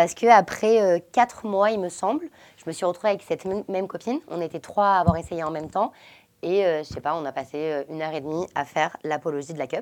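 At a very fast pace, a woman speaks at a fairly low pitch with ordinary pitch variation. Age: 20s. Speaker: entrepreneur, founder of a menstrual products brand. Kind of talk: casual chat. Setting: hotel room, sitting on a bed.

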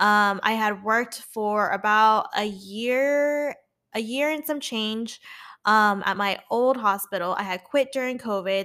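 A woman speaks at a fairly slow pace with a fairly high pitch and ordinary pitch variation. Her tone is animated, bright and sharp. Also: very clean recording, silent background. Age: 20s. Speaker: podcast host and nurse. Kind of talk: casual monologue. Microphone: new setup.

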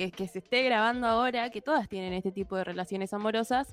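Speaking with a Rioplatense accent, a woman has a fairly high pitch and ordinary pitch variation. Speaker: podcast host. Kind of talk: casual chat.

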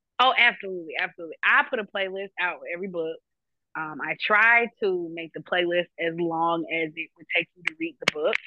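A woman speaks with an American accent at a fairly quick pace and a fairly low pitch. It is an unremarkable speaking voice with ordinary pitch variation. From Jacksonville, Florida. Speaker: romance novelist and radio host. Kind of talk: interview.

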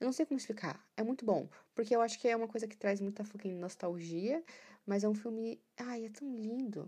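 A woman's dark, mellow tone at a fairly quick pace, with ordinary pitch variation. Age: 20s. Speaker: podcaster. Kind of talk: casual monologue.

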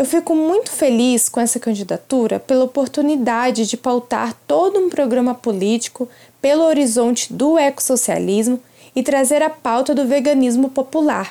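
A woman with a high pitch and a dark, mellow tone talks at a moderate pace with ordinary pitch variation and very even loudness. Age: 20s. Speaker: activist and political candidate. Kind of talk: prepared statement. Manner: formal.

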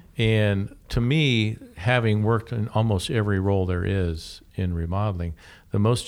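A man with an ordinary speaking voice talks at a fairly low pitch and a moderate pace, with ordinary pitch variation. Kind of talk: radio DJ patter, show intro and segment return. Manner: upbeat, polished, welcoming.

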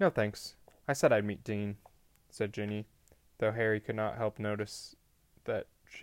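The reading here is done in an unforced reading voice.

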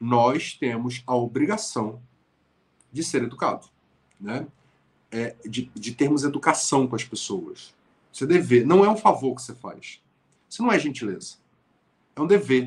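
Breathy in parts, a man at medium pitch speaks fairly slowly with lively intonation, big swings in loudness, and long, frequent pauses. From Brazil, Niterói (Rio de Janeiro state). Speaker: writer and motivational speaker. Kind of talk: interview conversation.

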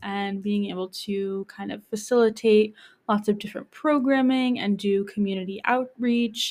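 At a moderate pace, a woman with an American accent speaks in a plain, everyday voice with fairly high pitch and fairly even intonation, on a very clean recording with a silent background. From Hudson Valley, New York. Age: 20s. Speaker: community health educator. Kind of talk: casual interview.

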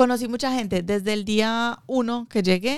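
In a very clean recording with a silent background, a woman talks at a moderate pace. She has a normal speaking voice with ordinary pitch variation. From Colombia, Medellín. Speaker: small business owner, baker. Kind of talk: interview.

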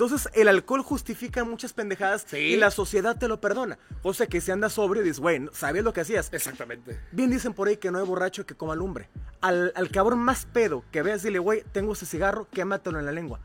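A high-pitched man rattles along at a very fast pace with lively intonation as noticeable background noise carries on around him. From Mexico, Cuautla, Morelos. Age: 40s. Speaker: radio host and coach. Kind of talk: casual chat.

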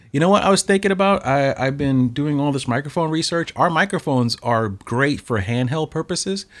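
A man speaks at a fairly quick pace with a fairly high pitch, lively intonation and hardly any pauses, on a very clean recording with a silent background. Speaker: photography podcast co-host. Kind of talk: casual chat.

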